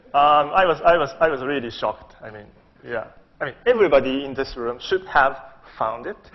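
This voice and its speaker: A man's plain, everyday voice, fairly high in pitch, with ordinary pitch variation, big swings in loudness and a fairly quick pace. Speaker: physicist giving conference talk. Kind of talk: lecture.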